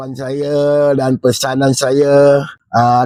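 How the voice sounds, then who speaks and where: A man's voice, fairly high in pitch, comes through dry and close with no echo. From Malaysia, Negeri Sembilan (Kuala Pilah). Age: 60s. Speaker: retiring government driver. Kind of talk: personal testimony at retirement video. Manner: halting, casual.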